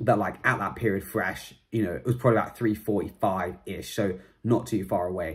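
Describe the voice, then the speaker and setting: A man speaks at a fairly low pitch with ordinary pitch variation over a quiet background. It is an unremarkable speaking voice. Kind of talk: casual vlog chat. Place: home room. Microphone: phone near.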